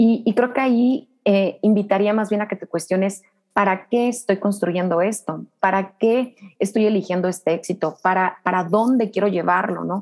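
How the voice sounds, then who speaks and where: A woman with a plain, everyday voice speaks at a moderate pace and medium pitch, her intonation fairly even. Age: 30s. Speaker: business coach. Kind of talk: interview.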